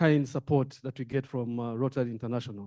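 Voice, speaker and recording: A man's dark, mellow voice with a Rwandan accent and fairly even intonation. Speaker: diplomat, audience member. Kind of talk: audience comment at meeting.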